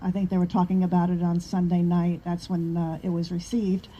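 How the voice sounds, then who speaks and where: With a New York accent, a woman speaks at a medium pitch in a dark, mellow, somewhat breathy tone and a monotone, flat intonation. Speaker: activist group member. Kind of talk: casual chat.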